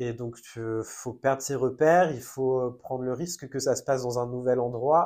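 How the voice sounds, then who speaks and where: A man with an unremarkable speaking voice talks at medium pitch with fairly even intonation on a very clean recording with a silent background. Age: 20s. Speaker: content creator. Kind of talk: personal testimony in a casual interview.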